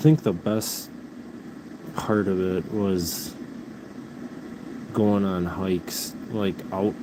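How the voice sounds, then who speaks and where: A man with a Midwestern American accent and a fairly low pitch, very slow pace, fairly even intonation, long, frequent pauses and noticeable background noise. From US Midwest. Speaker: livestreamer, pet rabbit owner. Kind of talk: casual livestream chat.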